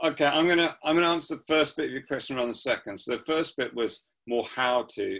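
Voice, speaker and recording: Speaking at a very fast pace, a man talks with a southern English accent. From southern England, Surrey. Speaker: pastor and prayer movement founder. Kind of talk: interview.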